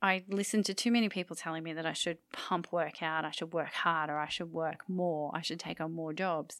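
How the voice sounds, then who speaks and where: On a very clean recording with a silent background, a woman with a normal speaking voice talks fairly quickly at a fairly low pitch, her intonation fairly even. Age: 40s. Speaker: photography podcast co-host. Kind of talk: casual chat.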